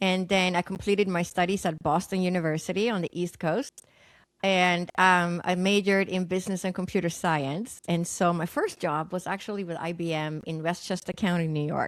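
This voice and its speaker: The speaker has a Swedish accent. The recording is very clean with a silent background. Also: woman, fairly low pitch for a woman, fairly even intonation, moderate pace. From Sweden. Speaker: naturopathic doctor and psychic medium. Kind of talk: podcast interview, personal story.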